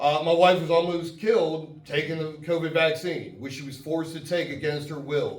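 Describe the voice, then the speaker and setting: A fairly high-pitched man amid audible room echo and noticeable background noise. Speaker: congressional candidate. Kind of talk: campaign speech. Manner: loud.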